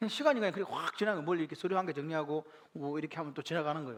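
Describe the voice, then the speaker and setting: The man's voice is fairly high. He speaks at a very fast pace. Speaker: pastor. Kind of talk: bible class teaching.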